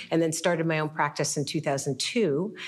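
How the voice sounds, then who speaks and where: A woman's normal speaking voice at a moderate pace, with ordinary pitch variation. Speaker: immigration lawyer. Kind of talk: panel discussion.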